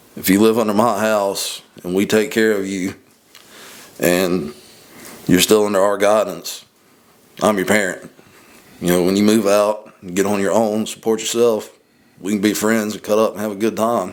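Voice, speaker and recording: In a Southern accent, a fairly low-pitched man speaks with monotone, flat intonation. His moderate pace is broken by long, frequent pauses. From US Deep South. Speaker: podcast co-host. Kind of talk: casual chat.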